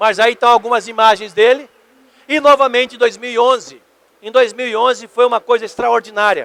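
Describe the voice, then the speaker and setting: A man shouts loudly at an extremely high pitch, his tone bright and sharp. His intonation stays fairly even, and the sound is dry and close with no echo. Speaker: ufologist, magazine editor. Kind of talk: lecture. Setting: convention stage with audience. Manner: loud, shouting.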